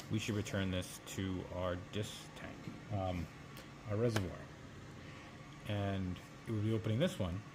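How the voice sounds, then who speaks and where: A man with a fairly low pitch talks with fairly even intonation in a space with audible room echo. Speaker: biomedical equipment technician. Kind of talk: tutorial. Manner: fast; casual.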